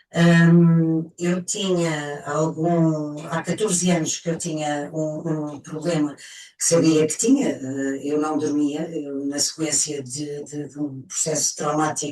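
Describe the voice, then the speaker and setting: Over noticeable background noise, a woman with a very deep, low pitch speaks very slowly in a monotone, flat way, with hardly any pauses and big swings in loudness. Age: 60s. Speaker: testimonial giver. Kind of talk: testimony. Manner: halting.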